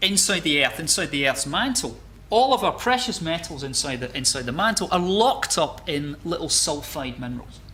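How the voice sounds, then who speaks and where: A man's raised, projected voice in a Scottish accent, with very wide pitch swings at a moderate pace, amid noticeable background noise and audible room echo. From Scotland, Glasgow. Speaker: geology lecturer. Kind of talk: lecture. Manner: halting, many repetitions and fillers.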